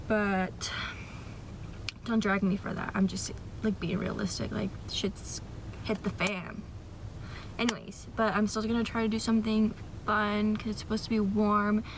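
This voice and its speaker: Over noticeable background noise, a woman with an American accent speaks fairly slowly at a medium pitch. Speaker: lifestyle vlogger. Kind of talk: vlog. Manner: casual, filler-heavy.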